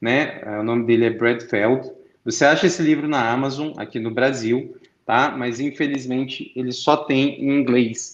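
At a fairly slow pace, a man speaks with fairly even intonation amid audible room echo. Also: medium pitch for a man. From Brazil, Brasília. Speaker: entrepreneur and conference speaker. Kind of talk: conference interview talk.

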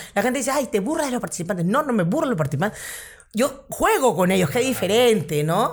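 A woman talks very fast in a somewhat breathy, fairly high voice, her pitch swinging very widely while her loudness stays very even. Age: 40s. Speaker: comedian. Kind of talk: casual chat.

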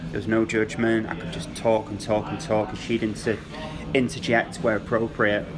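Keeping a moderate pace and fairly even intonation, a man with a fairly low voice talks over noticeable background noise. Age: 30s. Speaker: former ambulance call handler. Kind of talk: casual chat.

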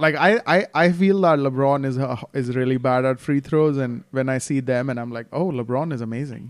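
With a plain, everyday voice and an American accent, a man talks at a moderate pace and medium pitch, using ordinary pitch variation and hardly any pauses. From outside the US. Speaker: basketball podcast host. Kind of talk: casual chat.

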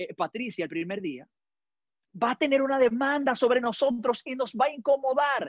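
Speech unfolds at a moderate pace. Behind it, the background stays quiet. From Dominican Republic. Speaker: pastor. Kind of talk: sermon.

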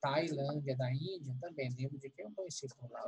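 Somewhat breathy, a man's voice rides at a fairly high pitch with ordinary pitch variation. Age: 40s. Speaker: teacher, writer and therapist. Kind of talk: casual chat.

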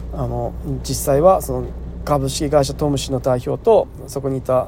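Moderate-speed male speech with noticeable background noise. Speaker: farmer and podcast host. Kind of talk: solo casual talk. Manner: casual, rambling with fillers.

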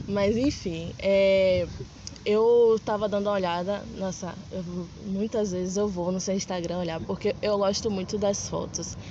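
Over noticeable background noise, a woman speaks at a medium pitch in a monotone, flat intonation and a fairly slow pace. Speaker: podcast host. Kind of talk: casual interview. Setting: outdoors in a public square.

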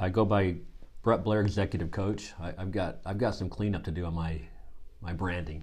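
Very deep and somewhat breathy, a man with an American accent talks at a moderate pace with ordinary pitch variation. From US Midwest, Missouri. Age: 50s. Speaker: executive coach. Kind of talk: casual chat.

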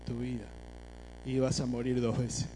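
A man at a moderate pace, with audible room echo. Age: 50s. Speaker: preacher. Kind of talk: sermon. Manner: halting.

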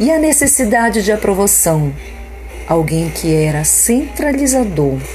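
Music plays in the background while a woman speaks in a calm, warm tone at a fairly slow pace. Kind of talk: guided meditation, leading a spoken affirmation prayer. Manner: calm, slow, devotional, with a reflective cadence and pauses; warm, encouraging, and instructive, inviting listeners to repeat the words.

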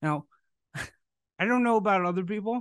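A man speaks against a quiet background. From US Midwest, Chicago. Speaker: podcast host. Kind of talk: interview.

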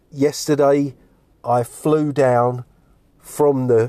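This man's voice has a dark, mellow tone, recorded with a dry, close sound and no echo. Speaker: podcaster. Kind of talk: recorded voice message.

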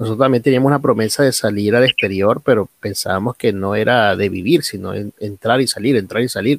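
A man with a plain, everyday voice, medium pitch and ordinary pitch variation, going at a fairly quick pace with hardly any pauses, in a dry, close sound with no echo. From Venezuela, Guárico. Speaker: podcast host and pastor. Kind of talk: interview. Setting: home recording.

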